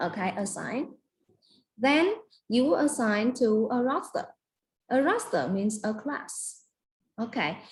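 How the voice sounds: A woman at a slow pace, big pitch swings and long, frequent pauses. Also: fairly high pitch for a woman.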